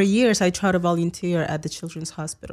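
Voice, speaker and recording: On a very clean recording with a silent background, a woman of medium pitch speaks with a Spanish accent. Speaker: guest commentator. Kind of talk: casual chat. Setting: studio.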